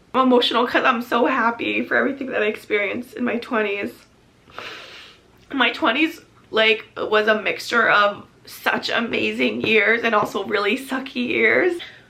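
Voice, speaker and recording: A woman's fairly high voice at a moderate pace, ordinary pitch variation, noticeable background noise. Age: 20s. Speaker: lifestyle vlogger. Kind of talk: casual vlog monologue.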